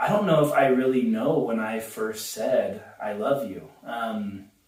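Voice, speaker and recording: In an American accent, a man speaks at a fairly slow pace with a medium pitch. His pitch variation is ordinary, and audible room echo is present. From Southern California. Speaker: husband in couple interview. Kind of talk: casual chat. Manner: loud; loud, cannot whisper.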